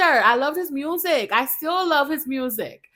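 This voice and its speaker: With a non-native accent, a woman projects a raised voice in a bright, sharp tone, animated and lively in intonation, on a very clean recording with a silent background. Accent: foreign accent, self-noted. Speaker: podcast host. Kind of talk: casual chat.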